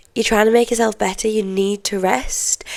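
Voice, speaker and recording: A woman is talking. Her accent is English. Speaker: podcast host. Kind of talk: casual chat. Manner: conversational, chatty.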